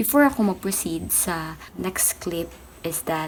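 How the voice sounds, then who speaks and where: A woman is speaking, and noticeable background noise can be heard. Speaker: vlogger and seamstress. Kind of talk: casual vlog.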